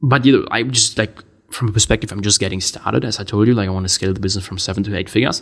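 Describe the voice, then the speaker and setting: A man with a German accent talks at a very fast pace in a fairly low pitch, with ordinary pitch variation. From Germany. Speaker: entrepreneur podcast host. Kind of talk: casual monologue.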